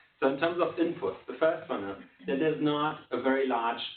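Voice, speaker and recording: Audible room echo surrounds a man who speaks very fast. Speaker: development economist presenting a book. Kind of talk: conference presentation.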